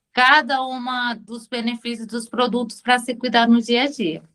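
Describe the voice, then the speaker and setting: A woman's high-pitched voice in a Spanish accent at a fairly slow pace. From Venezuela. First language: Spanish (speaking Portuguese). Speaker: beauty products consultant. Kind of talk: self-introduction pitch. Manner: halting.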